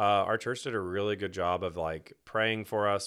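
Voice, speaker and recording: A man with an American accent speaks in a plain, everyday voice at a fairly quick pace. His pitch is fairly low and his intonation fairly even. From Texas, Houston. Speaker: schoolteacher and church elder candidate. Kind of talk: casual chat.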